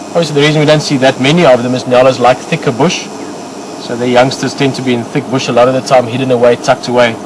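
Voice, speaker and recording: Over noticeable background noise, a man with an Afrikaans South African accent talks very fast at a medium pitch, his intonation fairly even. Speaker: safari guide. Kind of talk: live commentary. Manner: casual, halting.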